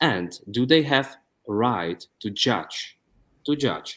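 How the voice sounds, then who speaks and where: A man with a Czech accent speaks at a medium pitch. His intonation is lively. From Czech Republic. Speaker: YouTube interviewer. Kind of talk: interview. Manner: halting.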